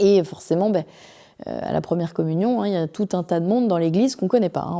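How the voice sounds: A woman's voice carries a dark, mellow tone and lively intonation.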